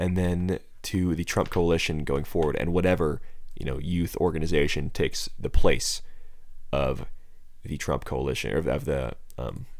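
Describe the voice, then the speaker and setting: With vocal fry and lively intonation, a man speaks in a very deep, low pitch amid audible room echo. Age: 20s. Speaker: political podcast host. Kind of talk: solo political commentary.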